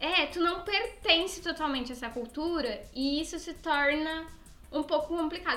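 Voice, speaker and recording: A woman projects her voice at a high pitch. Her raised delivery keeps ordinary pitch variation. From southern Brazil, Rio Grande do Sul. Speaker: podcast co-host. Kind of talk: casual chat; news reading.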